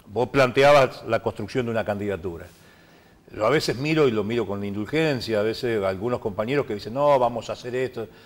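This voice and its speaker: A man talking at a very fast pace in a very clean recording with a silent background. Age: 60s. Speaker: politician. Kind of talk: TV interview.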